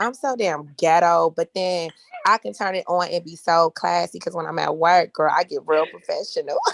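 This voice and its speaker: Speaking at a moderate pace with a Southern US accent, a woman sounds dry and close with no echo. Noticeable background noise is present. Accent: Southern-sounding. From Los Angeles, South Central. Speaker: podcast guest. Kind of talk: casual chat. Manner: animated.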